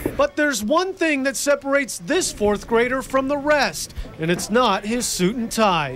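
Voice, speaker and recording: With an American accent, the speaker talks at a moderate pace with lively intonation and hardly any pauses over noticeable background noise. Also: man, extremely high pitch for a man. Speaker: TV news anchor and reporter. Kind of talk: feature news report narration.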